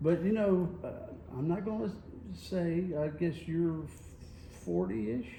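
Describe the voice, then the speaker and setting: In a North Carolina accent, a man with a high pitch and a dark, mellow tone speaks fairly slowly with lively intonation and long, frequent pauses, with audible room echo. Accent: Southern US (North Carolina). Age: 60s. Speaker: radio host. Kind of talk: casual chat. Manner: animated.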